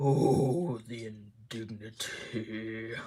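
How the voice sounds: A man puts on a gruff character voice at a medium pitch. There is a slight echo.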